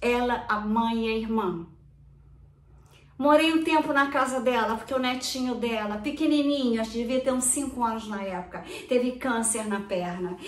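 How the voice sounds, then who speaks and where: A woman speaks at a moderate pace with a high pitch. Her pitch variation is ordinary, and audible room echo is present. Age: 70s. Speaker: retired dentist and real estate agent. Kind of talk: personal video statement.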